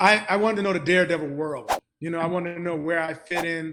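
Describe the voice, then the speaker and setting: Fairly high in pitch, a man talks at a very fast pace with fairly even intonation. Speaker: actor. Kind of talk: interview. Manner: halting.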